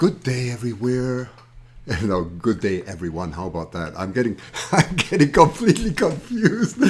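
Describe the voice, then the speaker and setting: This man's voice carries vocal fry, very wide pitch swings and big swings in loudness. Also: medium pitch for a man, moderate pace. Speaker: wildlife channel host. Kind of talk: interview host questions.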